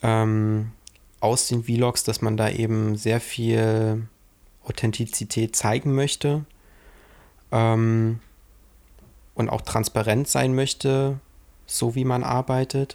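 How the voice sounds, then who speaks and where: A man at medium pitch speaks very slowly, with long, frequent pauses, very even loudness and fairly even intonation. The recording is very clean with a silent background. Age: 20s. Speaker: filmmaker and podcast co-host. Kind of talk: casual chat.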